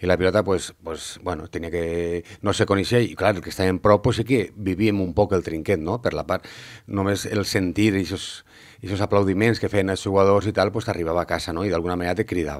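In a quiet background, a man with a very deep, low pitch talks at a fairly quick pace. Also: fairly even intonation. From Valencia city, Spain; Spain. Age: 50s. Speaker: former pilota player; interviewee. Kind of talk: interview. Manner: halting, many fillers. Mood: calm, reflective, smiling.

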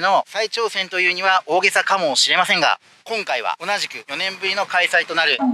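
A man's raised, projected voice at a moderate pace, in a dry sound with no echo. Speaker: travel vlogger. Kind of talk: casual vlog chat. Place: waterside. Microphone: phone near.

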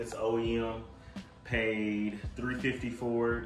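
Faint music plays in the background as a man talks amid audible room echo. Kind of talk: casual vlog chat. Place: garage. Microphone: phone near.

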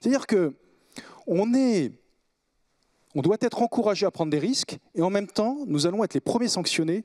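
A man talks at a fairly quick pace with very wide pitch swings against a quiet background. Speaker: business owner; panelist. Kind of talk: panel discussion. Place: hall. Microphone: handheld.

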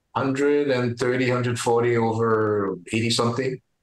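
A man talks very slowly, and the room's echo is audible. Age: 70s. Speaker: retired farmer and powerlifter. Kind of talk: interview answer. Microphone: video call.

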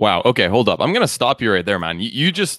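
A man speaks at a fairly quick pace with very wide pitch swings. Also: quiet background, dry sound with no echo. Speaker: podcast host. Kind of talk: podcast interview. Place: home room. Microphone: studio mic.

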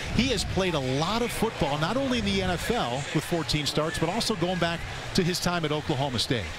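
Over noticeable background noise, a man with a high pitch talks at a fairly quick pace with lively intonation and very even loudness. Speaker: play-by-play announcer. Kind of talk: live commentary. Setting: stadium broadcast booth.

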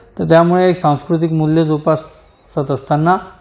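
A man with a plain, everyday voice speaks at a fairly high pitch. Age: 40s. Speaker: cooperative bank chairman. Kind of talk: interview.

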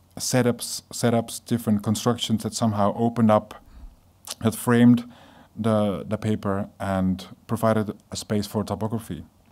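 A man with a Dutch accent speaks in a fairly low pitch. His tone is dark and mellow, and his intonation is monotone and flat. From Netherlands. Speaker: graphic designer. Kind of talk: lecture. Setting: stage with audience. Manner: halting. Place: hall. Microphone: podium.

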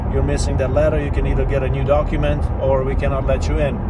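Loud background noise under a man's dry voice, with no echo. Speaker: vlogger telling his life story. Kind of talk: casual vlog storytelling. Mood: reflective, serious. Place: car. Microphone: phone near.

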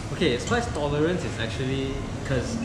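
A man's voice over loud background noise. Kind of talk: casual conversation. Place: cafe.

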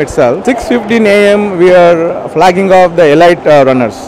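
Against noticeable background noise, a man speaks in a high voice with a dry sound and no echo. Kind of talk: interview answer. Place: hall. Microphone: handheld.

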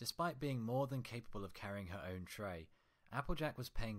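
The reading voice is unforced. Intonation rises and falls in a lively way.

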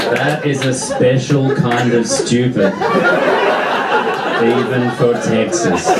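Loud background noise runs under a man's voice. He speaks very slowly, with long, frequent pauses. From Australia. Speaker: stand-up comedian. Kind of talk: stand-up comedy set. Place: stage.

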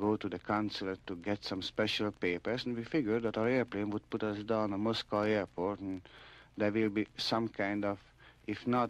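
At a moderate pace, a man with a plain, everyday voice speaks at a fairly low pitch with fairly even intonation, in a dry sound with no echo. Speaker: radio interviewee. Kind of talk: interview answer. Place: studio. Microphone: old recording.

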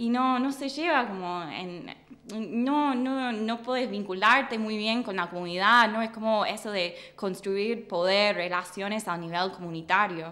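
With an English accent, a woman speaks at a fairly slow pace and fairly high pitch, with a bright, sharp tone, ordinary pitch variation and hardly any pauses. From US Midwest, Michigan. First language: English (speaking Spanish). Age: 20s. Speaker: political scientist, doctoral student; guest. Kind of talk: interview. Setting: studio. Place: studio. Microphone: studio mic.

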